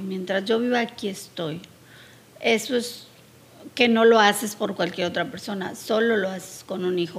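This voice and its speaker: Speaking in a Mexican accent, a woman goes at a fairly slow pace with a medium pitch and ordinary pitch variation. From Mexico. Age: 60s. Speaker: podcast host's mother. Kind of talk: casual interview.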